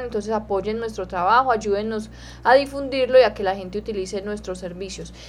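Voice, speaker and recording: A woman talks in an ordinary speaking voice with a fairly high pitch. Her intonation stays fairly even. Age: 20s. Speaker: radio host and animal welfare director. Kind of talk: radio talk show.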